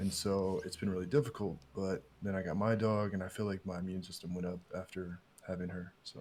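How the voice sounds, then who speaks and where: Quietly and at a fairly quick pace, a man speaks with a very deep, low pitch and fairly even intonation. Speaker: podcast guest. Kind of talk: casual chat.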